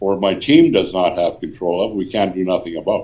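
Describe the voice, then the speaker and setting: A man's dark, mellow tone moves along at a moderate pace. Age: 70s. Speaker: mining company executive. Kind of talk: interview. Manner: halting, with repeated words.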